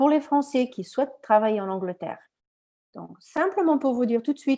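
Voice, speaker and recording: In a quiet background, a woman with a non-native accent speaks in a high pitch with lively intonation. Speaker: recruiter and career coach. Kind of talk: conference talk with Q&A. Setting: live conference. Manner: animated; halting, many repetitions.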